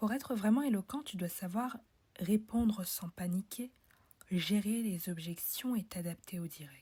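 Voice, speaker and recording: A woman's medium-pitched, dark, mellow, somewhat breathy voice at a fairly slow pace, with ordinary pitch variation and big swings in loudness. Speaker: podcast host, public speaking coach. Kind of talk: promotional announcement; solo podcast, instructional talk.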